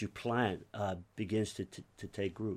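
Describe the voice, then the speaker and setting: A man with an American accent speaks fairly slowly in a normal speaking voice at a fairly low pitch, with fairly even intonation on a very clean recording with a silent background. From US (raised from age 5, Cuban-born). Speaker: pastor. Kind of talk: interview.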